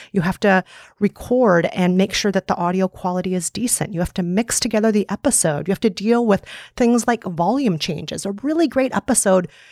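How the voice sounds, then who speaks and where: In a very clean recording with a silent background and a dry, close sound with no echo, a woman with an Upper Midwest accent speaks at a medium pitch, with ordinary pitch variation and a fairly quick pace. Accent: upper Midwest American. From US upper Midwest. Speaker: podcast host and author. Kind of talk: interview.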